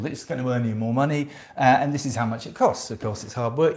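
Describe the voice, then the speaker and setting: Speaking at a very fast pace, the voice is somewhat breathy, with ordinary pitch variation. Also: man. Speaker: self-esteem coach. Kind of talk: casual talk to camera, sales pitch. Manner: hesitant, many fillers.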